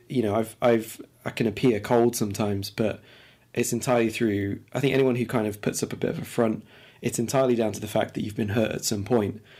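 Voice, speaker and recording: A man's voice of medium pitch moves fairly quickly, its pitch varying in an ordinary way. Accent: East Midlands. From England, Lincoln. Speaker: podcast co-host. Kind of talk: casual chat.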